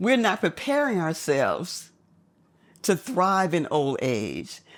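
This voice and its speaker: A woman speaks at a very slow pace with a medium pitch, very wide pitch swings and vocal fry. The recording is very clean, with a silent background. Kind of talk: conversation about aging.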